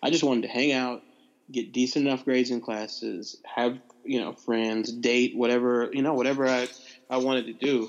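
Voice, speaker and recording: With noticeable background noise behind him, a man talks at a medium pitch and keeps his intonation fairly even. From US South, Nashville, Tennessee. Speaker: pastor and former government official. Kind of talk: interview.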